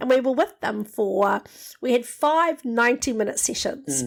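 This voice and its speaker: Someone speaks at a moderate pace in a New Zealand accent on a very clean recording with a silent background. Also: woman. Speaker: leadership program facilitator.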